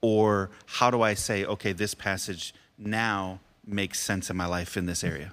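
In a very clean recording with a silent background, a normal speaking voice with an American accent talks at a moderate pace with fairly even intonation. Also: man, fairly low pitch for a man. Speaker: podcast host and pastor. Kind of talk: casual devotional chat about Bible. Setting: studio.

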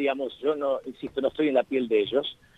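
With a normal speaking voice, a man speaks at a fairly high pitch and with lively intonation. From Argentina. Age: 50s. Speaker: journalist and author. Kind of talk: radio interview. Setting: phone call.

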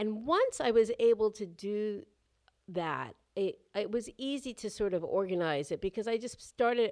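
A woman with a fairly high pitch and lively intonation speaks at a moderate pace, captured in a very clean recording with a silent background. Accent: New York. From New York City, Lower East Side. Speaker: author and documentary filmmaker. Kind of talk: interview.

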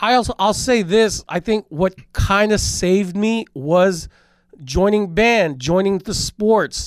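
On a very clean recording with a silent background and a dry, close sound with no echo, a man speaks very slowly at a high pitch with ordinary pitch variation. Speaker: podcast co-host, former radio host. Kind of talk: casual chat.

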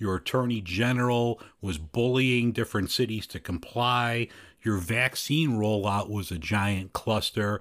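On a very clean recording with a silent background, a man in a Chicago accent speaks at a fairly slow pace with ordinary pitch variation. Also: medium pitch for a man. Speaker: podcast host. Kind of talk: casual chat.

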